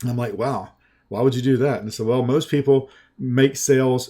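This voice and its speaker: The voice has a Southern US accent and a dark, mellow tone. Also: man. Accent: slow Southern US. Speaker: sales and marketing trainer. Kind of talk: sales pitch in a training webinar.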